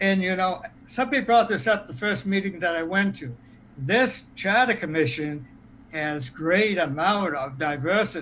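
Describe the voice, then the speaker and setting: Lively in intonation, a man talks at a moderate pace and a high pitch in a bright, sharp tone. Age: 70s. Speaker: charter commission member. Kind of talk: public meeting discussion.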